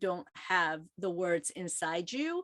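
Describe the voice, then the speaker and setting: Speaking at a very slow pace, a woman with an American accent has a bright, sharp tone and very wide pitch swings, recorded with a dry, close sound with no echo. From South Korea, came to US at 11. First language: Korean. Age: 50s. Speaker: author. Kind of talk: book club interview.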